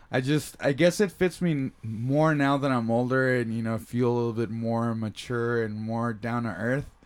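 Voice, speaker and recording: Medium-pitched male speech with ordinary pitch variation and hardly any pauses, against noticeable background noise. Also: moderate pace. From San Diego, California, Mexican-American family. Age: 30s. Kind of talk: casual chat. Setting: home recording in a kid's room.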